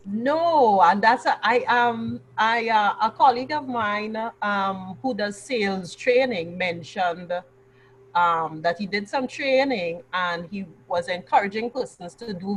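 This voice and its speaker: Somewhat breathy and at medium pitch, a woman speaks at a fairly slow pace with lively intonation. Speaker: business communicator. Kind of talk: interview answer.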